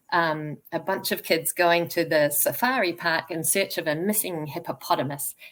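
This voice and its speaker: A woman with a New Zealand accent, fairly low pitch, ordinary pitch variation and a moderate pace, on a very clean recording with a silent background. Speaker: children's author. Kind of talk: interview; reading aloud.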